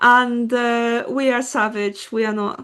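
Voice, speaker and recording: Through noticeable background noise, a woman speaks at a high pitch. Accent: Polish. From Poland. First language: Polish. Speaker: podcast co-host. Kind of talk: casual chat.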